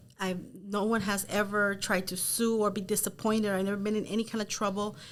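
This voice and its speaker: A woman's very fast, monotone, flat delivery with a Spanish accent, over noticeable background noise. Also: medium pitch for a woman. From Los Angeles, South Gate. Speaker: real estate team leader. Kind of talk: interview.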